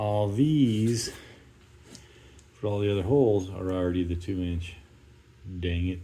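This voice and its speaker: A man speaks at a fairly slow pace. Audible echo fills the room. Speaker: DIY video maker. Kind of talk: casual tutorial narration.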